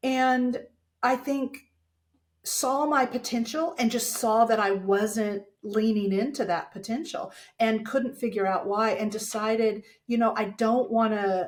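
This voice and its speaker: A woman with an American accent speaks at a fairly slow pace in a fairly high pitch, somewhat breathy, with ordinary pitch variation. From Texas, small town. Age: 60s. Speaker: dental communication speaker and coach. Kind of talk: podcast interview.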